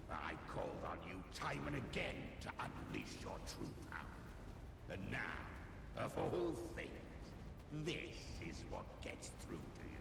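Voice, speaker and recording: Using a put-on character voice, a man speaks at a fairly slow pace. There is clear echo and loud background noise. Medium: machinima. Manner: menacing, gloating.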